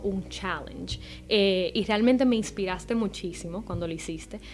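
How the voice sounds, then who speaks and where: A woman speaks at a fairly slow pace. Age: 20s. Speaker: makeup and sustainable fashion content creator, student. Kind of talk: casual radio chat interview. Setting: radio studio.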